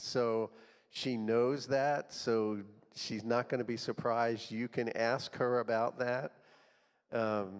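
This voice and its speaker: A man speaks at a fairly slow pace in a normal speaking voice, his pitch medium. The recording is very clean, with a silent background. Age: 60s. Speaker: church group leader. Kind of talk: event introduction.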